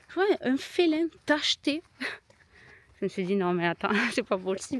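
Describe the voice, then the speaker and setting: Woman with a southern French accent, high in pitch, fairly slow, with very wide pitch swings, in a dry, close sound with no echo. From southern France. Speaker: vlogger. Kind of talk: casual vlog narration. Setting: outdoors.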